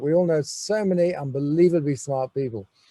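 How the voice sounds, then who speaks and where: The man's voice sits fairly high in pitch and has a dark, mellow tone. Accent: English. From England. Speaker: business school educator. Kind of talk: welcome address. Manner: halting, many fillers.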